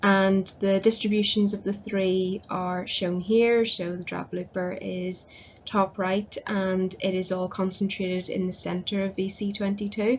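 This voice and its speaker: With a Northern Irish accent, a woman speaks somewhat breathily at a fairly slow pace, with hardly any pauses, in a monotone with flat intonation. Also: medium pitch for a woman. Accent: Northern Irish (Belfast). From Northern Ireland, Belfast. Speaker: conservation volunteer presenting research. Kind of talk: conference presentation. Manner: hesitant, many fillers.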